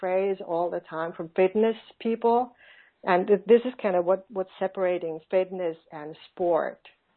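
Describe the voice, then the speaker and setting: Spoken at a very slow pace with a Finnish accent, the voice shows ordinary pitch variation. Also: woman. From Finland. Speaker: online business coach. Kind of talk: interview. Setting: phone call. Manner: halting.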